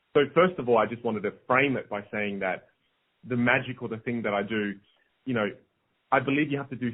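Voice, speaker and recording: A speaker with an Australian accent uses ordinary pitch variation. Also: man. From South Australia. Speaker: motivational speaker and magician. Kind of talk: podcast interview. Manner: repetitive stammering restarts.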